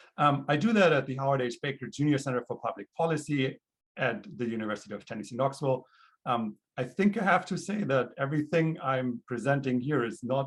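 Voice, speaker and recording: A man with a fairly high pitch, a somewhat breathy voice, lively intonation and a fairly quick pace. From Germany (Augsburg, Bavaria). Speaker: PhD candidate in political science. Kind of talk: academic presentation.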